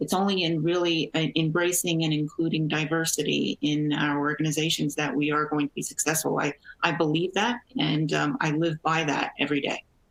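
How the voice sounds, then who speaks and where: Speaking at a fairly quick pace with hardly any pauses, a woman has a very deep, low pitch, fairly even intonation and very even loudness, with noticeable background noise. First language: Portuguese. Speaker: energy company executive. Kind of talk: panel discussion.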